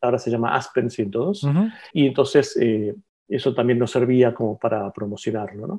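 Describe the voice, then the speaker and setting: A man speaks at a moderate pace with a medium pitch and an unremarkable speaking voice. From Argentina (La Plata), born in Barcelona. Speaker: publisher and engineer. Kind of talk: interview.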